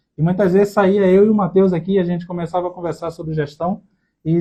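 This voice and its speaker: A dark, mellow tone delivered at a very fast pace with monotone, flat intonation. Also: man. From Brazil, Recife, Pernambuco. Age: 30s. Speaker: podcast co-host, accounting student. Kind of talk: casual chat.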